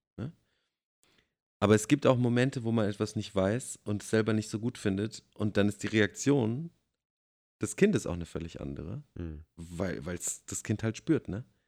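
With lively intonation and big swings in loudness, a man talks at a moderate pace broken by long, frequent pauses. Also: fairly low pitch for a man. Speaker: podcast co-host. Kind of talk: casual chat. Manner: halting.

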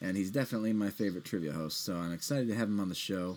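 This is a man with an American accent. His voice sits fairly low. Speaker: podcast host. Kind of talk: casual interview.

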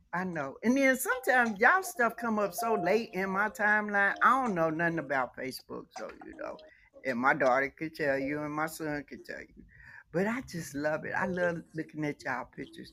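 This woman's voice has a bright, sharp tone and a fairly low pitch, with very wide pitch swings and big swings in loudness. She talks at a moderate pace. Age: 60s. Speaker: panelist in live audio room. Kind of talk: casual discussion. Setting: online audio room.

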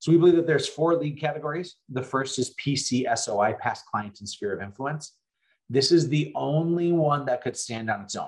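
With an American accent, a somewhat breathy man of fairly high pitch speaks at a moderate pace with ordinary pitch variation. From North Dakota, US Upper Midwest (Fargo). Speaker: real estate agent and coach. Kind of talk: interview.

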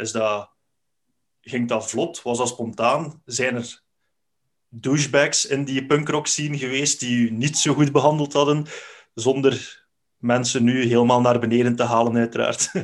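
A man's medium-pitched voice, fairly slow and fairly even in intonation. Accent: Flemish. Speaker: podcast host. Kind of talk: casual interview.

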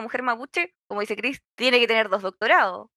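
The voice races at a very fast pace with ordinary pitch variation. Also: woman. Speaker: podcast co-host. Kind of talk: casual chat.

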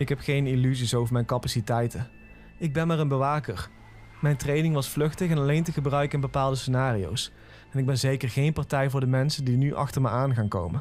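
A somewhat breathy male voice with very even loudness. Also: medium pitch for a man, ordinary pitch variation, fairly quick pace. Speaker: creepypasta narrator. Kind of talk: scripted horror story narration in first person.

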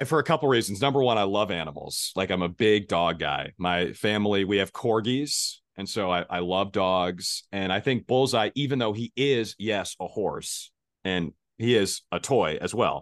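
A man speaks in a normal speaking voice, fairly low in pitch with ordinary variation, at a moderate pace. The sound is dry and close with no echo, over a quiet background. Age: 20s. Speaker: sportscaster. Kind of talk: casual chat.

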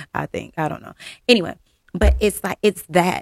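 A woman's medium-pitched voice, dry and close with no echo. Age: 40s. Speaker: podcast host. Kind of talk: solo reflective monologue. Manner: loud.

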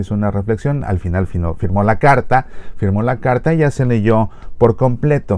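A dark, mellow tone delivered at a fairly quick pace. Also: man. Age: 40s. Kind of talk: spoken reflection.

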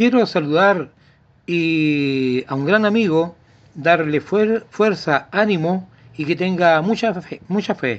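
A man with a Chilean accent, very slow pace, high pitch and ordinary pitch variation. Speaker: radio host. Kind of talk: casual chat; read-out ad. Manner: animated.

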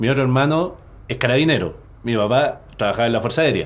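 A man talks with ordinary pitch variation at a medium pitch and a moderate pace. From Chile. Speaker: personal development coach and entrepreneur. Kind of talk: interview conversation. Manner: halting, frequent word repetitions.

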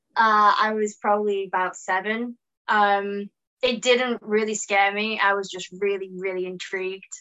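A woman's medium-pitched voice with a British accent, bright and sharp in tone, at a moderate pace with monotone, flat intonation. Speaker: actor. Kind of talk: casual interview chat. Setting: video call.

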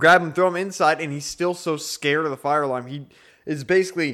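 At a medium pace and in a fairly high register, a man talks with an ordinary speaking voice. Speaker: podcast co-host. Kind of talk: casual chat.

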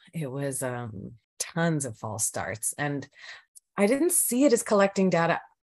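With a Canadian accent and a very deep, low pitch, a woman speaks at a fairly slow pace, her pitch swinging very widely and her loudness shifting a lot, against a quiet background. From Canada, rural Alberta. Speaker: podcast guest in alcohol recovery. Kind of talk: casual interview conversation.

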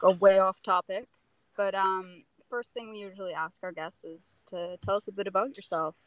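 A plain, everyday voice from a woman at medium pitch and moderate pace, with a dry, close sound and no echo. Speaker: podcast co-host. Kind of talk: casual interview chat. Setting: video call.

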